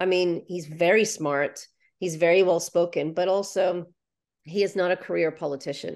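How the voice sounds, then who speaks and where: Over a quiet background, a woman talks at a moderate pace in a fairly low pitch. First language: Ukrainian. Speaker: author and translator. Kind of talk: casual interview.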